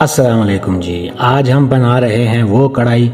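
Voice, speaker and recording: There is music in the background. The man's pitch varies in an ordinary way. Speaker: cooking channel host. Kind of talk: comic cooking voice-over. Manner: playful, joking.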